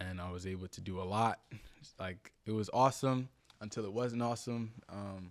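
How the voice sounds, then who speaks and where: A man speaks with a New Jersey accent at a moderate pace. His intonation stays fairly even, while his loudness swings widely. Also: fairly low pitch for a man. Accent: New Jersey American. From New Jersey, US (Willingboro). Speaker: content creator and former model. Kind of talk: podcast interview. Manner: casual.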